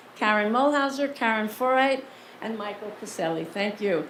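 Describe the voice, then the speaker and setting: A woman speaks with an American accent. Noticeable background noise and audible room echo surround her voice. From New York City, the Bronx. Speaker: film director and award recipient. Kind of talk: award acceptance speech. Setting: stage with dinner audience. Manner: animated.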